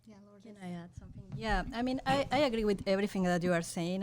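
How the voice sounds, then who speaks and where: A woman speaks very fast in a Spanish accent. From Mexico. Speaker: journalism professor. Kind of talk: panel discussion.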